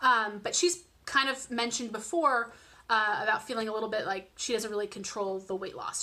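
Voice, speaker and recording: Talking at a fairly quick pace, a woman has a fairly high pitch and ordinary pitch variation. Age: 20s. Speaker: vlogger sharing weight loss surgery journey. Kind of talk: casual vlog monologue. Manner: fast; many fillers and restarts.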